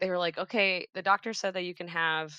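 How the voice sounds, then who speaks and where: With a Midwestern American accent, a woman speaks at a fairly quick pace and a fairly low pitch, her tone bright and sharp, against a quiet background with a dry, close sound and no echo. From Cincinnati, Ohio. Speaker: church children's ministry director. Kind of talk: casual interview. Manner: casual, filler-heavy.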